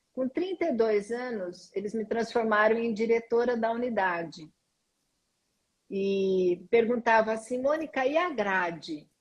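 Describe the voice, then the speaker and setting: Speaking at a fairly slow pace, a woman talks. She has a plain, everyday voice. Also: fairly high pitch for a woman, lively intonation. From Brazil, interior of São Paulo state. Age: 60s. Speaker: school director and management consultant. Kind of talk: interview. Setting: live stream.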